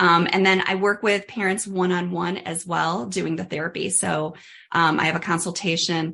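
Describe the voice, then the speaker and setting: Over a quiet background, a woman talks with a fairly low pitch and vocal fry. Her tone is bright and sharp, and her intonation fairly even. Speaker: dental hygienist and myofunctional therapist. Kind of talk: interview. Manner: fast.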